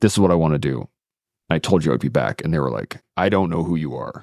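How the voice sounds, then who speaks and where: A man with a Western Canadian accent, very deep and low in pitch with vocal fry, lively intonation and a very fast pace, dry and close with no echo, on a very clean recording with a silent background. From southern Alberta, Canada. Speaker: military veteran and podcaster. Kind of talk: interview conversation.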